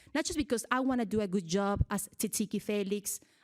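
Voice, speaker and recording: A woman with a Mexican accent speaks at a fairly quick pace and medium pitch with ordinary pitch variation, in a very clean recording with a silent background and a dry, close sound with no echo. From Mexico, Michoacan. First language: Spanish. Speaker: TV journalist. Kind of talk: public speech.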